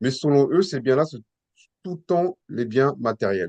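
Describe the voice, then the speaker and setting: With a dark, mellow tone and lively intonation, a man speaks at a fairly slow pace in a dry, close sound with no echo. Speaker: Bible teacher. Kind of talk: Bible teaching session. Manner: hesitant, many repetitions.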